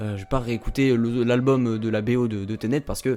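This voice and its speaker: With music in the background, a man with a Toulouse accent speaks at a medium pitch in an animated tone. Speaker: YouTube film critic. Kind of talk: casual film review. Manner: animated, hesitant with fillers.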